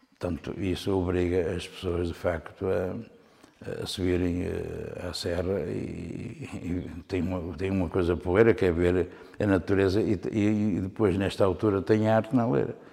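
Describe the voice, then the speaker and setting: A man speaks at a fairly slow pace, his very deep, low voice dark and mellow in tone. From northern Portugal, Alto Minho (near Viana do Castelo). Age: 60s. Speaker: painter. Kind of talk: interview. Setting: his own studio-gallery. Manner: halting, with frequent repetitions.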